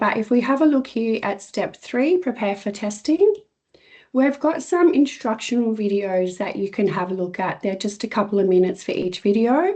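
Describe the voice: At a moderate pace, a woman speaks in a fairly high pitch with ordinary pitch variation and a slightly mellow tone.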